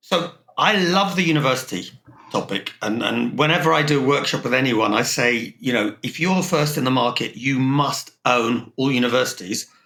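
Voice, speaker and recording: At a moderate pace, a man with a slight non-native accent speaks in a bright, sharp tone at a medium pitch, with ordinary pitch variation. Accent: near-English, slight foreign. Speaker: logistics consultant, podcast host. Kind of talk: business podcast discussion.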